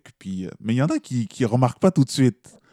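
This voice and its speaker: A man speaks at a moderate pace with a Quebec accent and lively intonation. His tone is dark and mellow, and the sound is dry and close with no echo. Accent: Québécois French. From Montreal, Quebec (Haitian parents). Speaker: slam poet. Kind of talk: interview.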